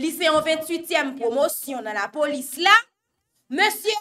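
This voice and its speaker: Extremely high in pitch, a woman speaks in a raised, projected voice with a bright, sharp tone. Her pace is very slow. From Haiti. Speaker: news show host. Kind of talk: news commentary. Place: studio.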